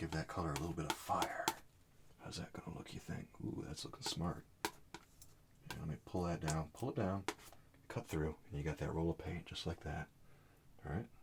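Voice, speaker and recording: A soft-spoken man with a very deep, low pitch and a calm tone, moderate pace, over noticeable background noise. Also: ordinary pitch variation. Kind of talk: oil painting tutorial narration, soft-spoken ASMR style. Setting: studio, painting at an easel. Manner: soft-spoken, calm, friendly.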